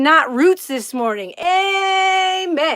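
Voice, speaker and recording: Animated in tone, a woman speaks in a raised, projected, extremely high-pitched voice with ordinary pitch variation. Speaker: livestream host. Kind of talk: casual chat. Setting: live stream. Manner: loud.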